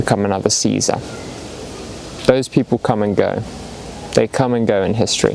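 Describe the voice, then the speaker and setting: Speaking quite quickly but with long, frequent pauses, a man in an English accent talks over noticeable background noise. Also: fairly low pitch for a man, fairly even intonation. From England. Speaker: video essayist. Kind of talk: casual philosophical ramble. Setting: outdoors in the woods.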